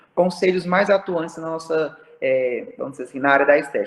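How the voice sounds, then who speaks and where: A man's voice, high in pitch. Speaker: aesthetic pharmacist. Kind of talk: online talk to students. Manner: animated.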